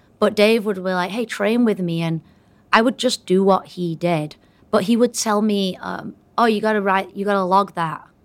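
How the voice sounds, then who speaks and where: In a British accent, a woman of medium pitch speaks at a moderate pace with fairly even intonation on a very clean recording with a silent background. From England. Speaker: CrossFit coach. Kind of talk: casual interview chat.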